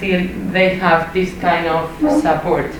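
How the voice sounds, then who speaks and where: A woman with a Spanish accent talks at medium pitch with fairly even intonation, amid noticeable background noise and audible room echo. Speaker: education researcher. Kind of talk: academic presentation. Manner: halting.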